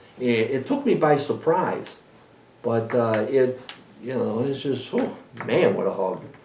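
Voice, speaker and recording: A man with a fairly high pitch speaks with very wide pitch swings. There is noticeable background noise and audible room echo. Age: 60s. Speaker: podcast host and cannabis breeder. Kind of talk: casual chat. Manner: halting.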